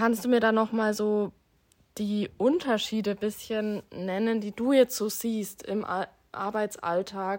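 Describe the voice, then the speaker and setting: In a very clean recording with a silent background, a woman speaks very slowly at a fairly high pitch. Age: 20s. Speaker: social work student. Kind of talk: interview.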